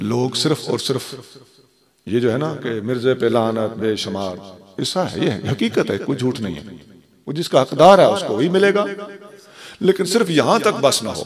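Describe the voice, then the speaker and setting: A man speaks at a medium pitch with very wide pitch swings. He leaves long, frequent pauses. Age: 60s. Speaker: Islamic scholar. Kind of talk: religious speech. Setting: stage in a mosque with audience.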